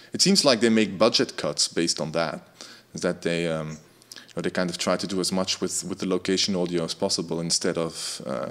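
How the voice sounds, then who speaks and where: Talking at a fairly quick pace with a Dutch accent, a man with a very deep, low voice keeps his intonation fairly even. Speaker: music tech community host. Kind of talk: casual chat. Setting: video call.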